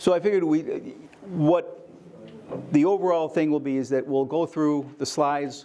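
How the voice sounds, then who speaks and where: The intonation stays fairly even, with a dark, mellow tone. The pace is fairly quick. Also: man. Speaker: photography lecturer. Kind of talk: lecture. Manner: loud.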